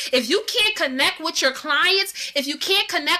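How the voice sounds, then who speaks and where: Through noticeable background noise, a woman speaks in a raised, projected voice at a high pitch. Her tone is animated and her pace is moderate. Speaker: online marketing coach. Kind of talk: live stream teaching.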